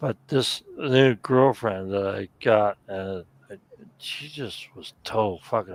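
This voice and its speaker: A man with a plain, everyday voice speaks at a fairly low pitch with ordinary pitch variation. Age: 60s. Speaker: stream participant. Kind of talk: casual chat.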